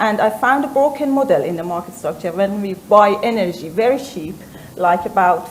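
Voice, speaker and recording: Noticeable background noise and audible room echo surround a speaker with an Iranian accent talking at a moderate pace. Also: woman. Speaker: company founder, former research scientist. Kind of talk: panel discussion. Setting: stage with audience. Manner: halting.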